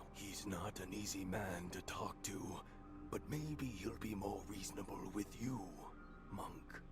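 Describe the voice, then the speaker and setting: A man puts on a character voice with a fairly low pitch, speaking at a fairly slow pace. Loud background noise is present. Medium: video game. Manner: solemn, pious.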